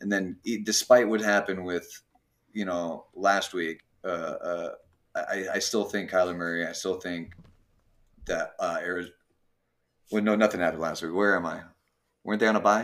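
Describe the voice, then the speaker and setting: A man speaks at a moderate pace with long, frequent pauses. His pitch is fairly low and his intonation fairly even. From Minnesota. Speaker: sports bettor on football picks panel. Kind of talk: casual chat.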